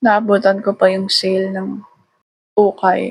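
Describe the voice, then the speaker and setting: A somewhat breathy woman at a medium pitch, very slow pace and monotone, flat intonation. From Philippines, Tagalog-speaking family. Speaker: vlogger. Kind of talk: casual vlog monologue. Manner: rambling chatty yapping.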